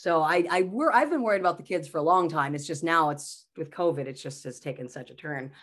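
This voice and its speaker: Delivered at a fairly quick pace with hardly any pauses, the speech sits in a very clean recording against a silent background. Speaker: comedian and mental health speaker. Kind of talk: casual chat. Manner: animated.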